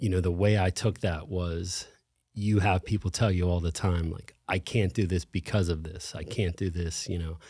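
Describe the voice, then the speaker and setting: A man's very deep, low-pitched voice with a dark, mellow tone, somewhat breathy, with an American accent, fairly even intonation and a fairly slow pace, in a very clean recording with a silent background. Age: 40s. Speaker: gym owner, brain tumor survivor. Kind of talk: interview conversation.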